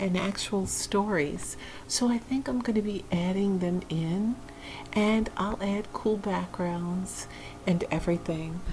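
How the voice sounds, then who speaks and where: Soft-spoken and very slow, a woman speaks in a soothing tone with very even loudness. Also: medium pitch for a woman, ordinary pitch variation. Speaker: ASMR creator and poet. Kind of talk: casual talk to camera. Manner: soft-spoken, soothing.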